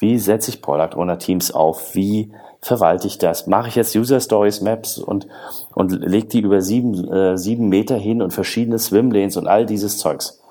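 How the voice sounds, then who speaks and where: A man's dark, mellow tone, fairly low in pitch, with fairly even intonation and a moderate pace. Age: 40s. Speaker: agile consultant and author. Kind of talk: podcast interview.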